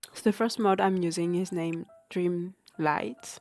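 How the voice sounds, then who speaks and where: A woman with a non-native accent speaks at a fairly low pitch while music plays in the background. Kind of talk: casual game mod tutorial narration.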